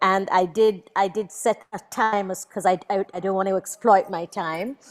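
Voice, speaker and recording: A plain, everyday voice from a woman, medium in pitch, with fairly even intonation and a fairly slow pace. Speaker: invited speaker, Caribbean writer and thinker. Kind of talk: prepared book presentation talk. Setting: online video event with simultaneous interpretation.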